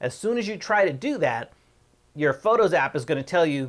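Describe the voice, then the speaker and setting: This man's intonation is lively and his pace fairly quick. The recording is very clean, the background silent. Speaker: tech tutorial youtuber. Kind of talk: tutorial. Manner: fast.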